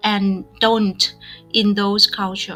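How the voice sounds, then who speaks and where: A woman with a Vietnamese accent talks fairly slowly at medium pitch. Noticeable background noise can be heard. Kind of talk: casual podcast conversation.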